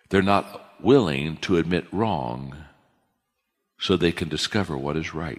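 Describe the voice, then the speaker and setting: A man speaks with a very deep, low pitch, vocal fry and long, frequent pauses. The recording is very clean, with a silent background. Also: ordinary pitch variation. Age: 60s. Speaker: leadership speaker. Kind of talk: lecture.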